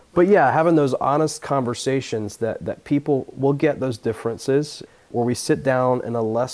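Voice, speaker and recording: A man's an unremarkable speaking voice with an American accent, moderate pace and ordinary pitch variation, in a very clean recording with a silent background. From US South, Atlanta area (Georgia). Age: 20s. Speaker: pastor. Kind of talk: interview.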